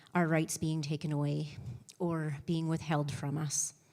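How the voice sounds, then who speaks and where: This woman talks with an Albertan accent. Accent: Canadian (Alberta). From Canada, Lethbridge, Alberta. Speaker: election candidate. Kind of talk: debate opening statement. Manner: halting, repeats words.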